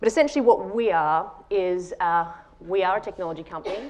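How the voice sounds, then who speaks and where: In an Australian accent, a woman speaks at a moderate pace with a medium pitch and ordinary pitch variation. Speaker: tech company founder and CEO. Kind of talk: conference talk.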